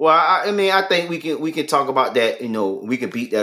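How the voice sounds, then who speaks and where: Loud, bright and sharp male speech at a fairly quick pace, with very wide pitch swings, on a very clean recording with a silent background. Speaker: sports podcast co-host. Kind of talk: casual sports talk live stream.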